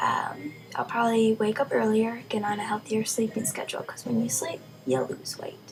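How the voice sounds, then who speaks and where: A woman speaks at a moderate pace with a fairly high pitch. Noticeable background noise runs under her voice. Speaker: college student. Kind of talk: casual talk to camera.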